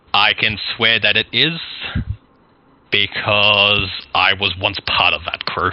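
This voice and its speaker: Putting on a raspy character voice, a man speaks at a fairly low pitch and a fairly slow pace with long, frequent pauses. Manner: hushed.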